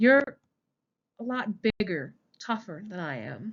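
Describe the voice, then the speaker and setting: A woman puts on a creaky character voice at medium pitch with very wide pitch swings. She goes at a fairly slow pace against a quiet background. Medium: read story. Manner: halting, unpracticed.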